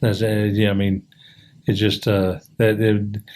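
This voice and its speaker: A man with a fairly low pitch at a fairly slow pace on a very clean recording with a silent background. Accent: American. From US Midwest, Indianapolis. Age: 60s. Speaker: podcast guest. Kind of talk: casual chat. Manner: halting, many fillers.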